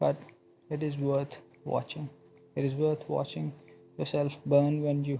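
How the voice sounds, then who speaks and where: A man with a fairly high, somewhat breathy voice and a dark, mellow tone speaks at a fairly slow pace in a flat monotone, with long, frequent pauses. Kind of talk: motivational speech; dramatic letter reading. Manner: slow, earnest.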